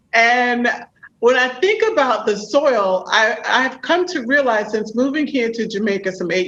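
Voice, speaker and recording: A woman speaks in a New York accent at a high pitch. Her pace is fairly slow. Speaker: podcast host and executive coach. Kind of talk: interview.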